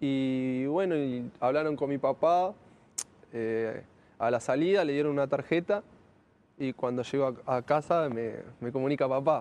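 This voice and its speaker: The pace is fairly slow, with long, frequent pauses. Pitch varies in an ordinary way. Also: man, fairly high pitch for a man. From Argentina, Greater Buenos Aires (Lanús). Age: 20s. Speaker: professional footballer. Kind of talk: interview.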